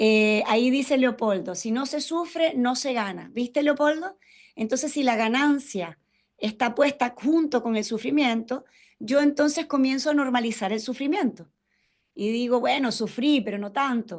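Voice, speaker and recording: At a fairly slow pace, a woman talks in a high-pitched voice. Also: ordinary pitch variation. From Venezuela. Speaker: ontological coach and webinar facilitator. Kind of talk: interactive webinar talk. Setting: video call webinar. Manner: warm, conversational.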